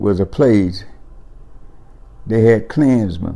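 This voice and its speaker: Speaking at a very slow pace, a man uses a fairly low pitch. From Mississippi. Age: 80s+. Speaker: farmer and war veteran. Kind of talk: interview answer.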